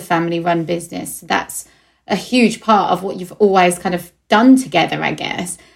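A woman with an Essex accent speaks at a medium pitch in a very clean recording with a silent background. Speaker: podcast host. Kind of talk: interview.

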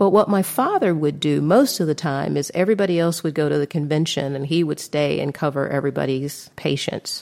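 A woman with a Southern US accent and a very deep, low voice talks at a fairly quick pace with hardly any pauses and ordinary pitch variation, against noticeable background noise. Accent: Southern American. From US South, Atlanta. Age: 60s. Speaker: podcast host. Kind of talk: personal storytelling monologue.

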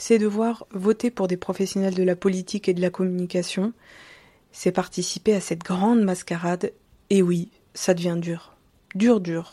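In a very clean recording with a silent background, a woman speaks at medium pitch in a dark, mellow tone, with monotone, flat intonation and long, frequent pauses. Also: fairly slow pace. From western France, Deux-Sèvres. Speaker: podcaster. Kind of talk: monologue. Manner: casual.

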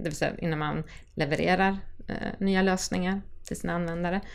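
Vocal fry from a woman with a fairly low pitch, at a moderate pace. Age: 40s. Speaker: agile coach and trainer. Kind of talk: podcast interview.

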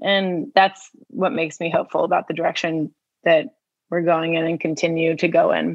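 Using a normal speaking voice, a woman talks at a moderate pace and a fairly low pitch with ordinary pitch variation. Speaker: podcast host and singer. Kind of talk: casual interview chat. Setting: outdoors on a beach in Mexico for the intro.

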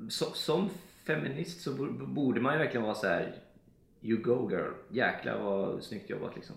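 With vocal fry and very wide pitch swings, a man of medium pitch speaks at a moderate pace in a room with audible echo. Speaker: podcast co-host. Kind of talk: casual chat.

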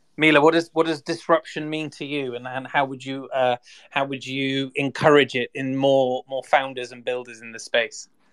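A British accent at a moderate pace with hardly any pauses. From UK. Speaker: podcast host and content creator. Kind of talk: hosted online discussion. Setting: online audio space.

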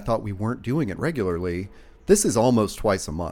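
A man with a slight Southern US accent, fairly low pitch, and a fairly quick pace. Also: very clean recording, silent background. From US South. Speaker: podcast host. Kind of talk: casual chat.

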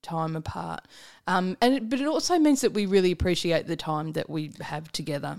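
A woman with an Australian accent at medium pitch, fairly quick in pace, with very wide pitch swings, on a very clean recording with a silent background. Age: 40s. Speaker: comedian. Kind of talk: casual chat.

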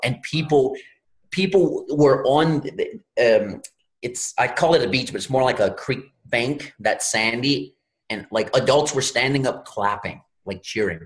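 A man with an American accent talks at a fairly slow pace in a medium-pitched, somewhat breathy voice. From Louisiana, US Gulf Coast. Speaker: real estate investor. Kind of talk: podcast interview.

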